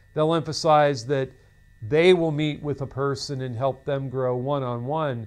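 A man's speech unfolds fairly slowly, its pitch varying in an ordinary way. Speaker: seminary lecturer. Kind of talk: lecture. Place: studio. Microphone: lapel.

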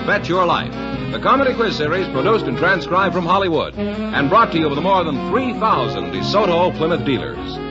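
A man talking at a moderate pace with hardly any pauses over clear background music. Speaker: radio announcer. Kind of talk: radio show announcement. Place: studio. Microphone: old recording.

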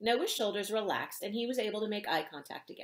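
Plain reading aloud. The intonation stays fairly even.

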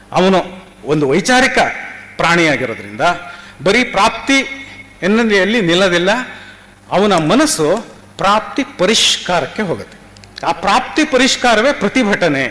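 Amid noticeable background noise, a man with a high pitch uses a raised, projected voice with lively intonation and very even loudness. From Karnataka. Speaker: theatre director and literary scholar. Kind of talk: seminar talk. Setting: university seminar. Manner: halting.

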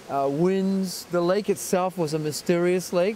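Over light background noise, a man speaks at a high pitch with ordinary pitch variation, the sound dry with no echo. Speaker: interviewee, actor. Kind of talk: interview answer. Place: forest. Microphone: handheld.

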